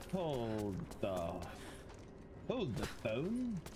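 A man's put-on character voice at medium pitch over clear background noise. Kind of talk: gameplay commentary. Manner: comedic, mock-serious.

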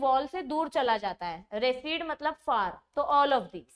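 A woman is heard against a quiet background. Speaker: biology teacher. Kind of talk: lecture. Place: studio.

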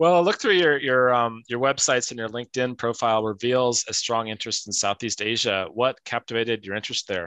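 A man's medium-pitched voice, bright and sharp in tone, at a fairly quick pace with hardly any pauses and ordinary pitch variation, dry with no echo against a quiet background. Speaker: talk show host. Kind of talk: moderated interview show. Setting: video call. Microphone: video call.

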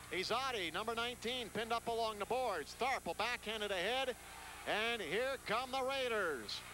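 A man speaks in a raised, projected voice, extremely high in pitch, at a moderate pace. The sound is dry with no echo, and faint music plays in the background. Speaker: play-by-play announcer. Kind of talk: live sports commentary.

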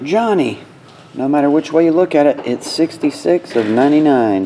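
Over light background noise, a man talks at a very slow pace with lively intonation. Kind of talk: live box break commentary. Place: studio.

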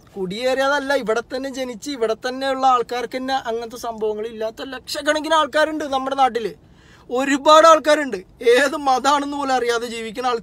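This man's voice sits at an extremely high pitch. His tone is animated, bright and sharp. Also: dry sound with no echo. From Kerala. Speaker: social media commentator. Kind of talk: political monologue to camera. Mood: angry protest. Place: car. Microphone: phone near.

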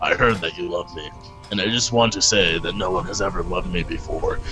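A gruff, put-on character voice from a man, fairly low in pitch and at a fairly quick pace, with clear music in the background.

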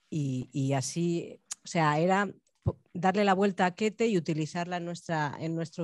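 In a dry sound with no echo and a quiet background, the speaker talks at a fairly slow pace with a Spanish accent and ordinary pitch variation. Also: woman. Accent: Peninsular Spanish. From Spain. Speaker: choreographer and bookseller. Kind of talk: Q&A after a performance. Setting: university auditorium with audience. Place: stage. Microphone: handheld.

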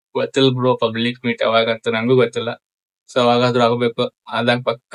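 The speaker is a man with a medium pitch. The sound is dry and close with no echo. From Chikkodi, Belagavi district, north Karnataka. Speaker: social media content creator. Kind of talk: casual Q&A with viewers.

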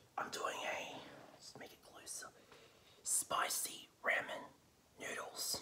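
Whispering, a man goes at a fairly slow pace. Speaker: vlogger. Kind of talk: casual vlog chat. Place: home room. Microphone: phone near.

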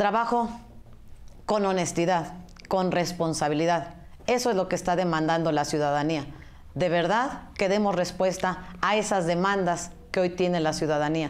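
Pitched fairly low, a woman talks at a moderate pace with ordinary pitch variation and very even loudness, with audible room echo around her. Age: 40s. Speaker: political candidate. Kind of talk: campaign interview.

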